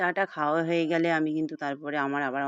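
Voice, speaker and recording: The woman talks in a monotone with flat intonation. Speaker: vlogger. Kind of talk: casual vlog narration.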